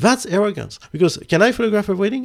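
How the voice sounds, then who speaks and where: Here a man speaks at a fairly quick pace. The recording is very clean, with a silent background. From France. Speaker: photography podcast host. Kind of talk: casual chat.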